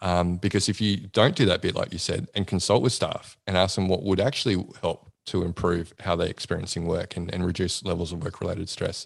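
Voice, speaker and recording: Delivered at a fairly quick pace with an Australian accent. The intonation stays fairly even against a quiet background. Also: man, very deep, low pitch for a man. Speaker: psychologist and podcast host. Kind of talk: casual interview chat.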